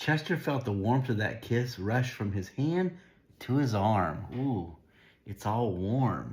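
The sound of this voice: The pitch varies in an ordinary way. The reading voice sounds unforced.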